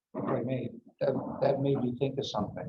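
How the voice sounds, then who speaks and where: A man is speaking. His voice is somewhat breathy. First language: Greek. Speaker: meeting attendee. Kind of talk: public meeting discussion.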